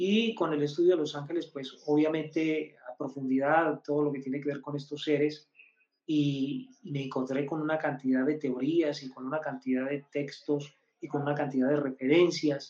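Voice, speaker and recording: A man speaks at a moderate pace and a fairly high pitch, with fairly even intonation. He has an ordinary speaking voice. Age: 50s. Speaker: numerologist. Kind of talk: live-stream teaching.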